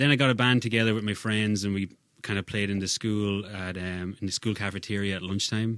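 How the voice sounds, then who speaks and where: A man with an Irish accent, fairly low in pitch, with fairly even intonation at a fairly quick pace. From Ireland, County Kildare. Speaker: singer-songwriter. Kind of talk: casual chat. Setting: studio.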